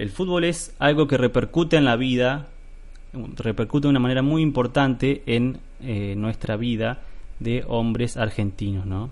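Here a man talks at a fairly slow pace. His pitch is medium and varies in an ordinary way. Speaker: podcast host. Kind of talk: solo podcast monologue. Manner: hesitant, many fillers.

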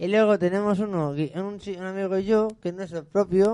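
A man speaks at a fairly quick pace in a high voice with a dark, mellow tone and ordinary pitch variation. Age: 20s. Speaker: radio host. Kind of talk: casual chat. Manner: halting.

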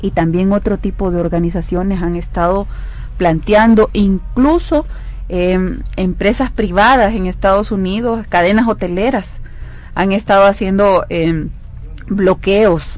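A woman's plain, everyday voice at medium pitch, fairly slow in pace, with ordinary pitch variation. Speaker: legislator. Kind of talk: radio interview.

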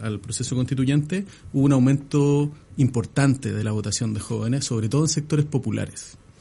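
A man talks at a moderate pace with a dark, mellow tone that is somewhat breathy. His pitch is fairly high, with ordinary variation. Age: 40s. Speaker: political analyst. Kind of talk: interview.

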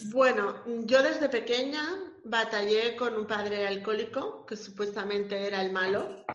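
Over noticeable background noise and audible room echo, a woman talks at a moderate pace and fairly high pitch with fairly even intonation. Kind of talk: casual interview.

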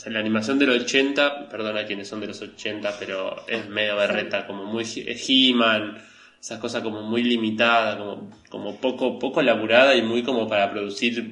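A man with a Rioplatense accent speaks at a moderate pace and medium pitch. His intonation is fairly even, and audible room echo surrounds him. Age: 30s. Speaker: animation podcast co-host, multimedia designer. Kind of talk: casual chat.

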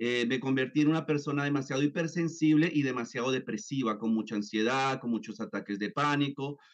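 A man talks at a medium pitch with ordinary pitch variation. He leaves hardly any pauses. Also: fairly quick pace. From Colombia, then raised in the US. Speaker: neuroscience therapist and author. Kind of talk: interview. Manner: hesitant with fillers and repetitions.

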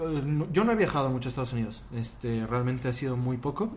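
In a Mexico City accent, a man speaks at a fairly high pitch. Audible room echo surrounds his voice. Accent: Mexico City Spanish (chilango). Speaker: podcast guest. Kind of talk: casual chat.

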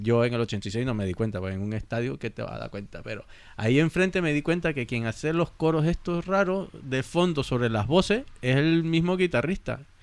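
The pitch makes very wide swings at a moderate pace, with hardly any pauses. The recording is very clean, with a silent background. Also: man, medium pitch for a man. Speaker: music podcast panelist. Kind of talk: casual chat.

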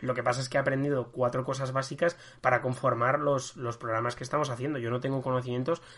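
Speaking at a very fast pace is a man. His intonation is monotone and flat. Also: medium pitch for a man. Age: 20s. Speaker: history podcast host. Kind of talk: casual chat. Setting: recording from home. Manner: halting.

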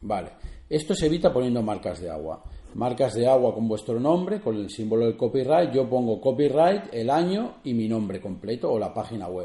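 A man speaks at a moderate pace with a medium pitch and lively intonation. His tone is dark and mellow, and somewhat breathy. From Spain, Barcelona. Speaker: photographer and podcast host. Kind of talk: solo podcast tutorial. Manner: halting, with many fillers and repetitions.

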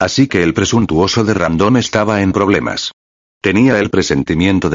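An unforced reading voice over a quiet background

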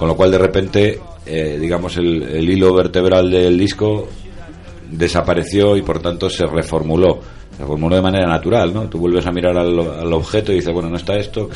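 A man speaks at a fairly quick pace in a very deep, low voice with fairly even intonation. Audible room echo and noticeable background noise fill the recording. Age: 40s. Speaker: musician and writer. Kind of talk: interview.

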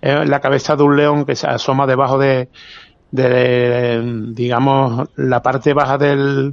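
The man speaks in an Andalusian accent at a very slow pace. His medium pitch stays monotone and flat. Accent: Andalusian Spanish (Seville). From Seville, Andalusia (Spain). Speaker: photographer. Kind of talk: casual chat. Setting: outdoors.

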